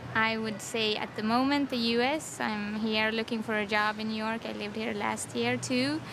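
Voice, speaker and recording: A woman's fairly high voice at a moderate pace, with fairly even intonation, hardly any pauses and noticeable background noise. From Sweden. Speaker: interviewee. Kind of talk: interview.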